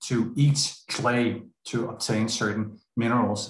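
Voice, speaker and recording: A man talks with fairly even intonation and a somewhat breathy voice. Light background noise and audible room echo are present. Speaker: speaker. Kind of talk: lecture. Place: home room. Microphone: video call.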